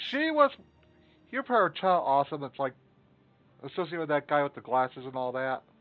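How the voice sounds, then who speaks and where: A man's fairly high voice at a very fast pace, broken by long, frequent pauses, with music in the background. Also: ordinary pitch variation. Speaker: streamer. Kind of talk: casual chat. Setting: live stream.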